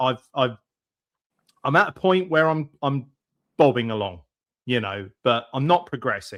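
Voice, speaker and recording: A man with a British accent, fairly high in pitch, moderate in pace, lively in intonation. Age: 40s. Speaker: podcast host. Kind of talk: interview.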